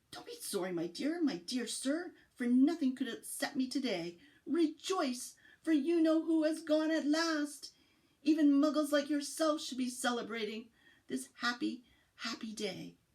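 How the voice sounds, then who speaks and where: A woman does a squeaky, put-on character voice. Her pitch is high, and her pace is moderate. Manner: joyful, excited.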